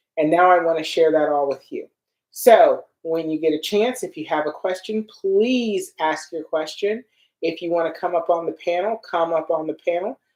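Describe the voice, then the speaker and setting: This is a plain, everyday voice. It keeps a moderate pace with ordinary pitch variation. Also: woman, fairly low pitch for a woman. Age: 60s. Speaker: skincare product maker and livestream host. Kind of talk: live Q&A livestream. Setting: livestream on social media.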